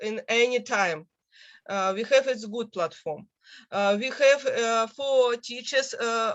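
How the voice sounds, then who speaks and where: A woman talks very slowly, her fairly high voice showing ordinary pitch variation. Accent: Russian. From Russia. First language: Russian. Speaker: university teacher. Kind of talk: academic class discussion. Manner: halting.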